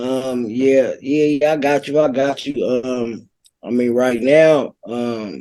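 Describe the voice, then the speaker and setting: A man with an American accent, medium pitch, a dark, mellow tone, fairly even intonation and a very slow pace. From Bay Area, Contra Costa County (Pittsburg, California). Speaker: rapper. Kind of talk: podcast interview. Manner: casual, hesitant with many fillers.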